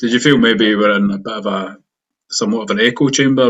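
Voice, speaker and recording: A man speaks in a flat monotone with a Scottish accent. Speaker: podcast host. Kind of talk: interview.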